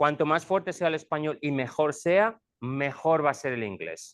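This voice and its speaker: This man speaks with a Spanish accent at a fairly slow pace. His pitch is fairly high, with ordinary variation. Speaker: school administrator, former teacher. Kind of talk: presentation to parents.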